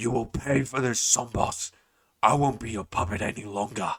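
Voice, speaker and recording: Growling in a put-on character voice, a man keeps his intonation fairly even. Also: medium pitch for a man, moderate pace. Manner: venomous, threatening.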